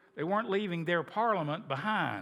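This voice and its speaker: A man with a southern Appalachian accent and ordinary pitch variation. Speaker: history teacher. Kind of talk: lecture. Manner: conversational, repetitive restarts.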